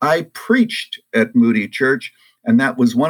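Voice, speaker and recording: Vocal fry marks this man's voice. His pitch swings very widely. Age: 70s. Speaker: retired pastor and author. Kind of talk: interview.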